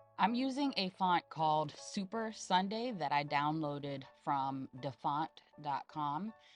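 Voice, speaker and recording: Over music in the background, a woman talks very slowly with hardly any pauses. Her very deep, low voice makes very wide pitch swings. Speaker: graphic design tutorial maker. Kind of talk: software tutorial voice-over. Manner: casual, hesitant.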